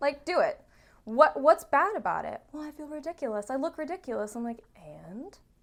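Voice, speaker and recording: Loud and animated, a woman speaks at a high pitch and a moderate pace. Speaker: therapist. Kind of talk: casual chat.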